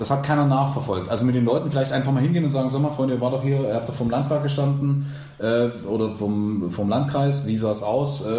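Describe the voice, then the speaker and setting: Over noticeable background noise and audible room echo, a man talks very fast at a medium pitch with ordinary pitch variation and very even loudness. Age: 30s. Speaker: podcast co-host and long-term student. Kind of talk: casual chat.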